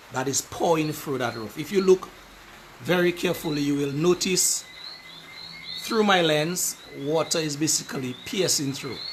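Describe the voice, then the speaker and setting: A man's fairly high voice at a moderate pace, with long, frequent pauses and noticeable background noise. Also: ordinary pitch variation. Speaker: community affairs show host. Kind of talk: live video walkthrough talk to camera.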